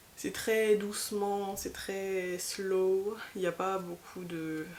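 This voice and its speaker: A woman talks very slowly, her intonation fairly even and her pitch medium. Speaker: vlogger. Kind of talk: casual vlog chat. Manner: hesitant, many fillers.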